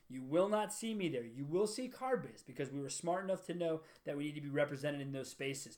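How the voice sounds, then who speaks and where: This man's delivery is very fast. Pauses barely occur. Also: fairly high pitch for a man, lively intonation. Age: 30s. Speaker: car business entrepreneur and podcast host. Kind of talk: solo monologue introducing a podcast.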